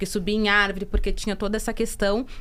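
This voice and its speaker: A woman at a very fast pace, monotone and flat in intonation. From interior of Brazil. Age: 30s. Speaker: podcast co-host. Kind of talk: casual podcast conversation.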